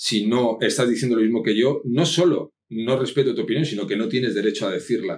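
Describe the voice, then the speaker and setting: A man with a slight Asturian accent, medium pitch, ordinary pitch variation and a fairly quick pace with hardly any pauses. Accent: slight northern Spanish (Asturian). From Spain (Madrid). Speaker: copywriter. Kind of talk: interview.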